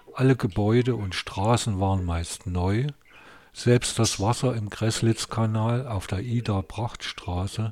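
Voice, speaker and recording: Very slow and somewhat breathy, a man speaks at a fairly low pitch with fairly even intonation. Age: 50s. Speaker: podcaster and author, retired architect. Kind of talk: podcast introduction; reading aloud from his novel.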